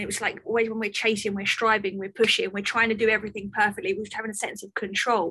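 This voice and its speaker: A woman is speaking with a fairly high pitch. Her tone is bright and sharp. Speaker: podcast host. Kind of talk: podcast interview.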